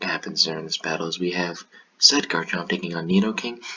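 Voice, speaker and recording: Very deep and low, a man's voice moves at a fairly quick pace with lively intonation. Noticeable background noise sits behind him. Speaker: gaming commentator. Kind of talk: live commentary on recorded game battles. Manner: casual, with frequent fillers.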